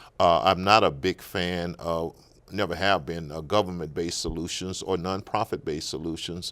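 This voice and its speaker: A man's very deep, low voice in an American accent, with fairly even intonation, in a very clean recording with a silent background. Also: moderate pace. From Natchez, Mississippi. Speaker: political candidate. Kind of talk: interview answer.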